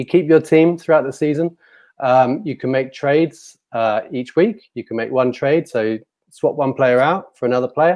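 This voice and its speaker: This is a man with a British accent. He speaks at a fairly slow pace. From UK. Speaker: fantasy football site creator. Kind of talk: casual chat. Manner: halting.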